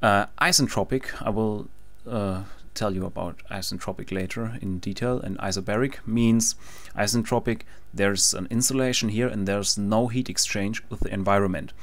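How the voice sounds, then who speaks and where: Here a man with a German accent speaks in a fairly low pitch. His pace is moderate and his intonation fairly even. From Germany. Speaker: engineering tutorial maker. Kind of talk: tutorial. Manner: halting, frequent fillers.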